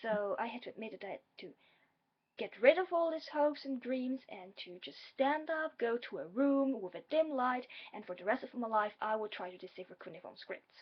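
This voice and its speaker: The intonation is lively and the loudness swings widely. The pace is moderate. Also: woman, high pitch for a woman. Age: 20s. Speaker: vlogger, graduate student. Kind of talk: personal vlog. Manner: hesitant, many fillers.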